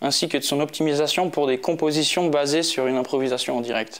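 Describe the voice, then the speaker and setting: Music plays in the background as a man with a fairly high voice speaks with ordinary pitch variation. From Switzerland, Geneva. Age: 20s. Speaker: electronic musician. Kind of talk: interview. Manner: halting, many fillers.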